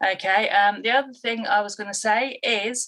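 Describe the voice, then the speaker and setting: A woman speaks with a British accent. Her tone is bright and sharp, with ordinary pitch variation. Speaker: dog behaviourist and trainer. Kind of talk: live stream talk to viewers. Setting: live online stream. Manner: halting, pauses to breathe.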